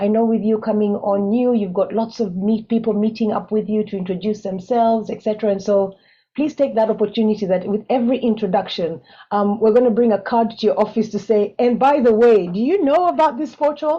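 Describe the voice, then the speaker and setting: A woman with an East African accent talks at a fairly quick pace. Her pitch is fairly high, with ordinary variation. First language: Swahili. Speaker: webinar moderator. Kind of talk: panel moderation.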